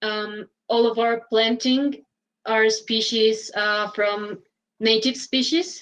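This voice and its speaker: A woman speaks in a Spanish accent at a fairly high pitch. Her pace is very slow. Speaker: interpreter. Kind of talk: interpreting. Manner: halting, many fillers.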